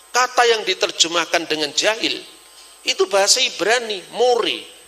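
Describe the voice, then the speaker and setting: A raised, projected voice at a moderate pace, lively in intonation, over noticeable background noise. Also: man. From Java, Indonesia. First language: Javanese (speaking Indonesian). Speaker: religious scholar. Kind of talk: lecture. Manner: animated.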